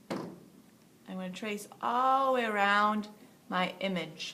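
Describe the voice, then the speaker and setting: Very slowly, a woman speaks at medium pitch with ordinary pitch variation and a bright, sharp tone, her voice carrying audible room echo. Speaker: art teacher. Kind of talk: tutorial.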